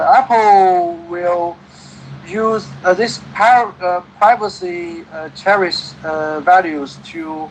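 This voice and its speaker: Over noticeable background noise, a man with a Chinese accent speaks very slowly at a high pitch, his loudness swinging widely. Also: ordinary pitch variation. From China. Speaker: English conversation partner. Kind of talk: casual conversation. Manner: halting, many fillers.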